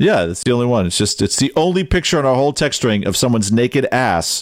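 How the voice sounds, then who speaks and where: In an unremarkable speaking voice, the speaker talks at a fairly quick pace with lively intonation. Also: man. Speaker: podcast co-host. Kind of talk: casual chat. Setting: video call.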